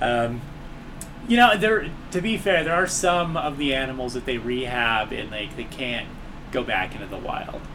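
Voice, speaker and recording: A man's fairly high voice at a moderate pace, swinging very widely in pitch, with noticeable background noise and audible room echo. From Southern California (Long Beach / South Central LA). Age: 30s. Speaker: comedian and podcast host. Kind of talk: casual chat. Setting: apartment, in person.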